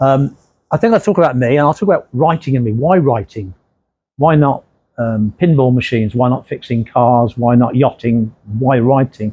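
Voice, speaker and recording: Medium in pitch, a man with a dark, mellow tone speaks at a moderate pace with ordinary pitch variation. The background is quiet, and the sound is dry and close with no echo. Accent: English Midlands. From English Midlands, Redditch, Worcestershire. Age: 60s. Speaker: crime novelist. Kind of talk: author talk. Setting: library talk with audience. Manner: casual.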